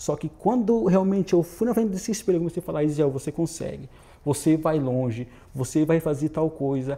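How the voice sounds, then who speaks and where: This man talks at a fairly quick pace in a fairly high, dark and mellow voice with lively intonation. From Brazil, Santa Catarina. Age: young. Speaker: volunteer missionary. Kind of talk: interview testimony. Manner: halting, repeats words.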